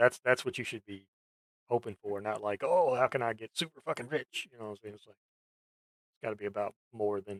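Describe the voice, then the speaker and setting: With an unremarkable speaking voice, a man talks at a fairly quick pace at medium pitch with ordinary variation and big swings in loudness, in a dry, close sound with no echo. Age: adult, ten years in same job. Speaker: vtuber streamer. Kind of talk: casual chat. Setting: voice chat stream.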